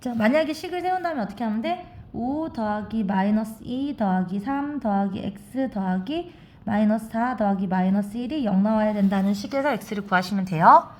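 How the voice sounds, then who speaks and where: A woman speaks with lively intonation and a fairly high pitch. Her voice is somewhat breathy. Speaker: math teacher. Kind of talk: tutorial. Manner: fast.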